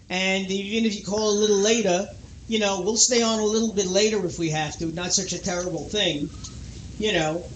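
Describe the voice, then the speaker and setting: With audible room echo, a man talks at a fairly quick pace in a high voice, his intonation fairly even. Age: 60s. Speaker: radio talk show host. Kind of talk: call-in radio chat.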